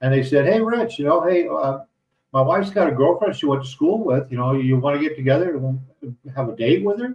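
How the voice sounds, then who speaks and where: Somewhat breathy, a man with an American accent talks with lively intonation. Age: 60s. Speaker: retired expat vlogger and condo landlord. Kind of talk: casual live stream talk. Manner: halting, many fillers.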